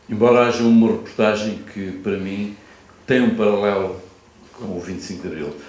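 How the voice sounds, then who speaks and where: The delivery is moderately paced with fairly even intonation, big swings in loudness, noticeable background noise and audible room echo. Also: man, fairly low pitch for a man. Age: 60s. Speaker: photojournalist and author. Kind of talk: panel talk at literary festival.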